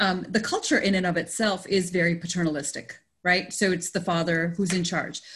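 With a normal speaking voice, a woman talks at a fairly quick pace, keeping her intonation fairly even and her loudness very even. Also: medium pitch for a woman. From Canada, Indian family. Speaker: podcast host and consultant. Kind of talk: interview conversation.

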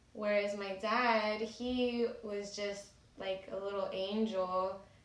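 A woman's medium-pitched voice with an American accent, in a monotone, flat intonation, with audible room echo and noticeable background noise. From California (Salinas). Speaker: abuse survivor sharing story. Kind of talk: personal testimony.

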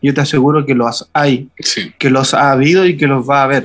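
A man with an unremarkable speaking voice talks at a moderate pace. His pitch sits fairly high. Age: 30s. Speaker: pastor. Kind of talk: casual chat.

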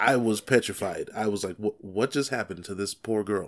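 A man with a plain, everyday voice and ordinary pitch variation, on a very clean recording with a silent background. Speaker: podcast co-host, wrestling fan. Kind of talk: casual chat, wrestling podcast banter.

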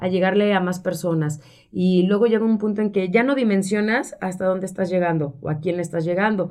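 Words come out at a very fast pace. The pitch shifts in an ordinary way. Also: woman. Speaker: radio announcer and communications professional. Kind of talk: interview.

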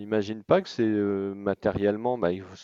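A man's dark, mellow tone, dry and close with no echo, over a quiet background. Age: 40s. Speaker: expatriate entrepreneur. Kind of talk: interview. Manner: halting.

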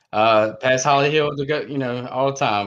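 In an ordinary speaking voice, a man talks at a medium pitch with fairly even intonation. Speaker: sim racing driver. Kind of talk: casual interview. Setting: video call. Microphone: laptop.

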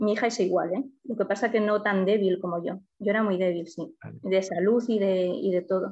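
A woman with an unremarkable speaking voice talks at medium pitch and a moderate pace. Her intonation is fairly even, with hardly any pauses. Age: 50s. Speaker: client in a weight-loss case study. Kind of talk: consultation interview.

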